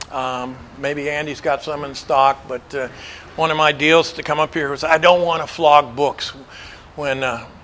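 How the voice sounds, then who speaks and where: A man with an American accent at a fairly high pitch and moderate pace, flat and monotone, over noticeable background noise. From Montana. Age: 70s. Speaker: motorcycle adventurer and author. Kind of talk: presentation to an audience. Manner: casual, hesitant with fillers.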